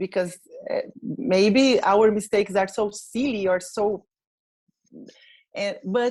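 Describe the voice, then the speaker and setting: Speaking at a very slow pace, a woman with a Portuguese accent has a medium pitch and fairly even intonation. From Brazil. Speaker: English learner. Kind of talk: testimonial interview. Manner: halting, many fillers.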